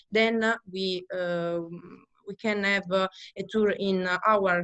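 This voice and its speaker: A woman with an Italian accent speaks at a very slow pace. Her medium-pitched voice keeps a fairly even intonation. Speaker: winery owner family member. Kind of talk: interview. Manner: halting.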